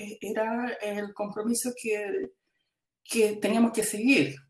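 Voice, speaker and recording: A woman at a fairly slow pace. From Chile. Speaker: textile artist and educator. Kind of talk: interview. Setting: video call. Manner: halting, many repetitions.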